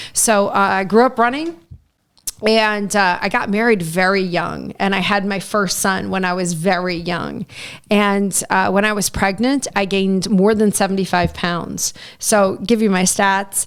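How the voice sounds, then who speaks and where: Speaking with an American accent, a woman uses an ordinary speaking voice at medium pitch. Her pace is fairly slow and her intonation fairly even. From US Midwest (southern Indiana). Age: 40s. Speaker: TV meteorologist. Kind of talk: casual interview chat.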